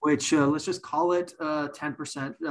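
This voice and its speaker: Speaking at a fairly quick pace, a man has an unremarkable speaking voice at a fairly high pitch. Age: 40s. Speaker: insurance executive and podcast host. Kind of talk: podcast interview.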